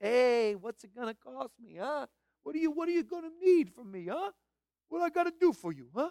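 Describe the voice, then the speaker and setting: Doing a put-on character voice, a man pushes an Italian accent in an extremely high pitch with very wide pitch swings and big swings in loudness, at a moderate pace, with a dry, close sound and no echo. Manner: slick.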